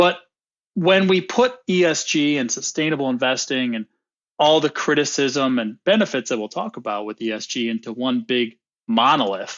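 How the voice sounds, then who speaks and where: Lively in intonation, a man with an American accent speaks in a plain, everyday voice at a fairly high pitch and moderate pace. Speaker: equity research director. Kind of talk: interview podcast.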